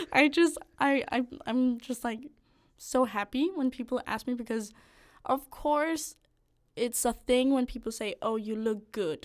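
A woman talks with a Danish accent at a high pitch and a fairly slow pace. The recording is very clean, with a silent background. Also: ordinary pitch variation. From Denmark, north of Copenhagen. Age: 20s. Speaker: medical student. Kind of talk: casual chat.

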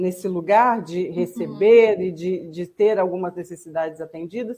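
At a fairly slow pace, a woman speaks with lively intonation and a dark, mellow tone. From Juiz de Fora, Minas Gerais, Brazil. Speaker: guest speaker on spiritist topics. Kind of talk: casual discussion on a live stream.

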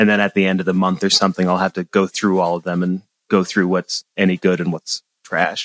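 Flat and monotone, this voice moves at a fairly quick pace with an American accent, recorded dry and close with no echo. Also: man, very deep, low pitch for a man. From US Northeast, central Massachusetts. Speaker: songwriter and music theory student. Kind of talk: casual interview chat.

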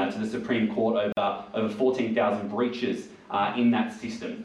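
A man talks at a mid-level pitch and middling speed in a flat, monotone delivery, with clear background noise behind him. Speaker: nurse and union delegate. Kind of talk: rally speech to a pub audience. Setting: live pub event with audience. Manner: earnest, persuasive; hesitant, filler-heavy.

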